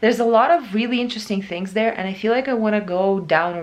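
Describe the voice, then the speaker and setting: The pace here is very fast. It is a woman's voice. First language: Russian and Ukrainian. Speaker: book vlogger. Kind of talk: casual vlog. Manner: halting.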